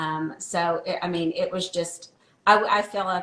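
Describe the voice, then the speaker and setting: With an unremarkable speaking voice, a woman talks at a fairly low pitch with fairly even intonation. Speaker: wellness product promoter. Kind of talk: casual interview chat.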